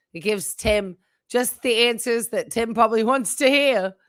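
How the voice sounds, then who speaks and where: Against a silent background in a very clean recording, a woman speaks at a fairly slow pace with a bright, sharp tone. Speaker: psychiatric nurse and commentary streamer. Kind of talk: commentary reaction video, casual talk. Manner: sarcastic, critical.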